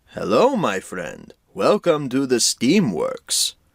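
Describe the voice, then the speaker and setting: A man puts on a character voice and speaks at a very slow pace. The sound is dry and close, with no echo. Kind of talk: friendly welcome.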